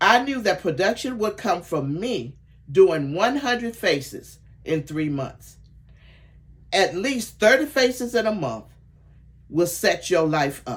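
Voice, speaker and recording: A woman speaks at a fairly slow pace, somewhat breathy, with long, frequent pauses. Her pitch swings very widely. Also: medium pitch for a woman. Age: 70s. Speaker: sales director and mentor. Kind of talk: training talk. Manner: enthusiastic, motivational.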